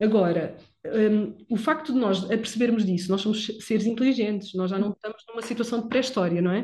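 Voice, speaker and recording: A woman's unremarkable speaking voice, fairly high-pitched with ordinary pitch variation, fairly quick and with hardly any pauses. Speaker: physiotherapist podcast host. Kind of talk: casual chat.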